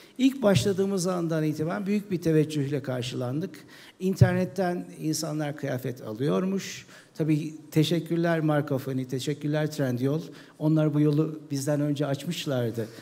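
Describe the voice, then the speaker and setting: A man speaks at a moderate pace in a dark, mellow tone, his pitch varying in an ordinary way. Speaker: e-commerce founder; panelist. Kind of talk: panel talk. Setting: stage with audience. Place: stage.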